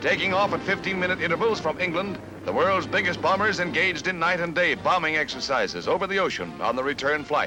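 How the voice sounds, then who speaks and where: With music playing behind him, a man speaks at a very fast pace in a high pitch, his intonation fairly even and hardly any pauses. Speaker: newsreel narrator. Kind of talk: newsreel narration.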